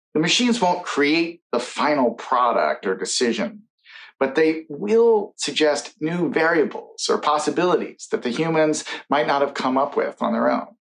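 Here a man has a plain, everyday voice, fairly high in pitch, at a moderate pace. His intonation is lively while his loudness stays very even. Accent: American. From United States. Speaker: futurist and science author. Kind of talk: conference keynote speech.

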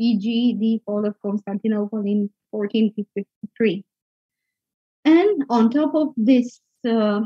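Somewhat breathy and fairly high in pitch, a woman speaks at a fairly slow pace with ordinary pitch variation and long, frequent pauses, in a dry sound with no echo against a quiet background. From Romania. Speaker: conference speaker, researcher; conference speaker. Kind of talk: academic conference talk. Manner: hesitant, many fillers. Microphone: video call.

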